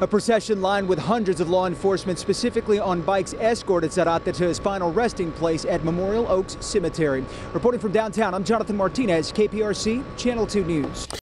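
A man's high voice at a very fast pace with hardly any pauses and ordinary pitch variation, dry with no echo but with noticeable background noise. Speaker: TV news reporter. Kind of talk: news report stand-up. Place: street. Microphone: handheld.

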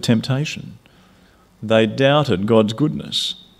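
Fairly slow speech from a man with an Australian accent. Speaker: preacher. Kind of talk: sermon. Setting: church. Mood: warm, light-hearted to earnest. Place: hall. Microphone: podium.

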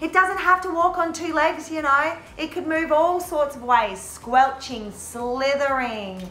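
Her voice is raised and projected, with ordinary pitch variation. The woman speaks at a fairly slow pace, and audible room echo surrounds her. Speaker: drama teacher. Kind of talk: tutorial.

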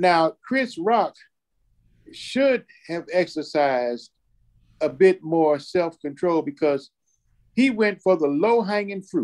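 A man with a high voice speaks very slowly, with lively intonation and long, frequent pauses. The background is quiet. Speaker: church talk show co-host. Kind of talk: casual discussion. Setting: remote call from father's hospital room. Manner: repetitive, emphatic. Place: home room. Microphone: video call.

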